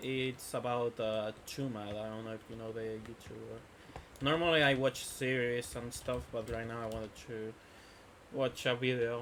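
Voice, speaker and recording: A man with a Spanish accent speaks at a moderate pace over noticeable background noise. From Spain. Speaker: gaming streamer. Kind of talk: casual live stream chat. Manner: halting, many fillers.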